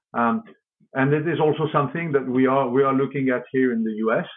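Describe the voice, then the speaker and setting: Talking with a French accent, a man uses a fairly high pitch. The pace is moderate. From France. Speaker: company executive. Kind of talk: interview. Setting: podcast. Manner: halting, many repeated words.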